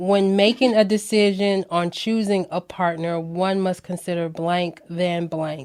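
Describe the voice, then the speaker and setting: A woman speaks with an American accent in an ordinary speaking voice, her pitch fairly low and her intonation fairly even. The pace is fairly slow, and the recording is very clean with a silent background. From Florida. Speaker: podcast host. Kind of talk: casual interview.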